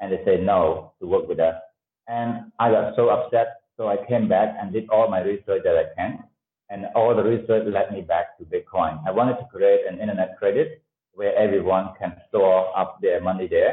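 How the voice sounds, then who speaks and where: A man speaks at a moderate pace with a Cambodian accent. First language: Khmer. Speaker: tech entrepreneur. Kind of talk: interview. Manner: halting, many fillers.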